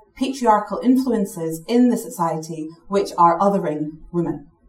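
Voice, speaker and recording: Over noticeable background noise, a woman talks at medium pitch with lively intonation. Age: 30s. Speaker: equality charity director. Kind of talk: panel talk.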